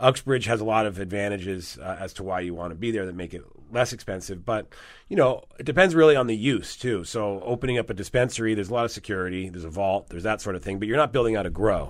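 A man with a fairly low pitch, talking at a very fast pace with ordinary pitch variation and big swings in loudness, on a very clean recording with a silent background. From born in Rome, Italy. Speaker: cannabis lawyer. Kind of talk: interview. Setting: studio.

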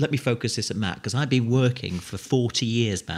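On a very clean recording with a silent background, a man with an ordinary speaking voice talks at a moderate pace, medium in pitch with ordinary pitch variation. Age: 50s. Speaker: operations director, former children's TV presenter. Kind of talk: casual interview.

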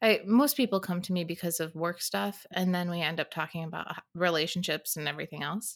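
This woman has a normal speaking voice with fairly low pitch, a fairly quick pace and hardly any pauses. The recording is very clean with a silent background. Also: ordinary pitch variation. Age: 40s. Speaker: podcast host and life coach. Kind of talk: casual interview chat.

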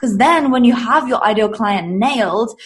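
A woman's fairly high voice with an English accent, at a moderate pace. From England. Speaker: business coach. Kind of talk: casual interview chat.

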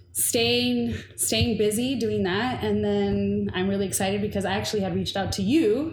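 With hardly any pauses, a woman talks in an American accent amid audible room echo. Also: moderate pace. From Inglewood, Los Angeles, California. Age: 30s. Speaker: diversity consultant and community organizer. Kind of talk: casual chat.

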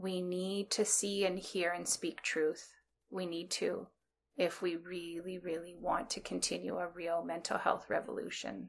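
In an ordinary speaking voice with a Canadian accent, a woman talks at a fairly slow pace with a fairly low pitch and fairly even intonation, on a very clean recording with a silent background. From rural Ontario, Canada (Bruce County). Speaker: social worker and therapist. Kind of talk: interview.

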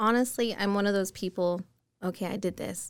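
In an American accent, a woman with a normal speaking voice talks at a fairly quick pace with ordinary pitch variation. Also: very clean recording, silent background. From Utah, Murray. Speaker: loan officer. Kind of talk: casual chat.

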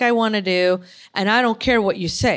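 A woman with an American accent and a plain, everyday voice, fairly high in pitch with ordinary variation, on a very clean recording with a silent background. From Chicago, US Midwest. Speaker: artist and military veteran. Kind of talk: casual interview conversation. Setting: in person, live recording.

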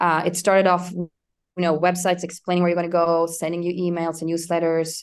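A woman speaks in a fairly low pitch with flat, monotone intonation. Her background is quiet. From Sweden. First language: Swedish. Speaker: tech executive. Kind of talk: interview.

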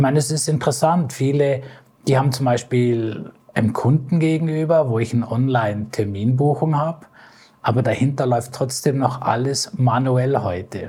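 Somewhat breathy and dark, mellow in tone, a man's medium-pitched voice moves at a moderate pace with ordinary pitch variation and very even loudness. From Bavaria, Ingolstadt. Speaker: lecturer and automotive data expert. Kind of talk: interview.

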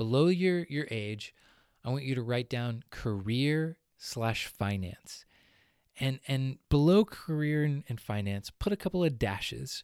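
In an ordinary speaking voice, a man talks at a fairly slow pace with medium pitch and lively intonation, recorded very cleanly against a silent background with a dry, close sound and no echo. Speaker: podcast co-host and entrepreneur. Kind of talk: solo instructional podcast talk.

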